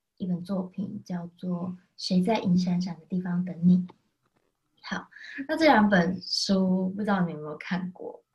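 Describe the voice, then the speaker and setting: With a Taiwanese accent, a woman speaks fairly slowly at a medium pitch, somewhat breathy, with fairly even intonation and big swings in loudness. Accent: Taiwanese Mandarin. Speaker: podcast co-host presenting book picks. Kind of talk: casual chat.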